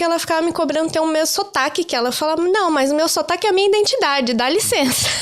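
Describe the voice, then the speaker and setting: A woman's high voice with a Brazilian accent, very fast pace and lively intonation. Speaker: career-change interviewee, office worker in Ireland. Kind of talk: casual interview chat.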